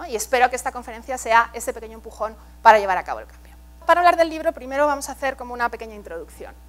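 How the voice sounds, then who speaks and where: Faint music sits behind a woman who talks at a very fast pace, her high pitch showing ordinary variation while her loudness swings widely. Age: 40s. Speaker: art education expert and professor; professor. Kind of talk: keynote lecture. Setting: stage with audience. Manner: engaging, interactive with audience. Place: hall. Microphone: lapel.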